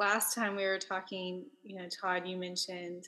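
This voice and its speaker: A woman with a Texan accent, medium in pitch, at a moderate pace. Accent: Texan Southern US. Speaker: podcast host and author. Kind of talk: casual interview with scripted intro and outro.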